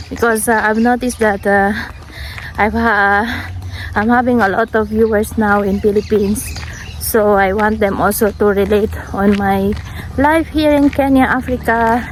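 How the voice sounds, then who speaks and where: Against noticeable background noise, a woman with a fairly high pitch speaks at a moderate pace, her intonation fairly even and her loudness very even. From Philippines. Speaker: vlogger. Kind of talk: casual talk to camera.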